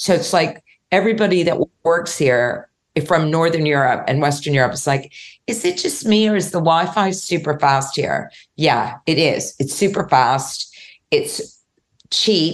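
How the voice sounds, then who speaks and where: Her pace is fairly slow. The woman's pitch is fairly low, with ordinary variation. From New York, moved to London in the 1970s. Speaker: startup founder for seniors. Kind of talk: casual chat.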